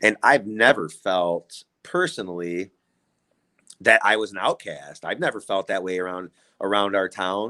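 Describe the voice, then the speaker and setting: The voice has a bright, sharp tone and a Midwestern US accent, moving at a fairly slow pace with fairly even intonation. The sound is dry and close with no echo on a very clean recording with a silent background. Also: man, fairly low pitch for a man. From Illinois, Kankakee County. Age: 30s. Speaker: community member. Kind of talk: casual chat.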